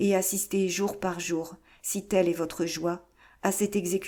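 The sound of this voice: This is an unforced reading voice. The text is read aloud.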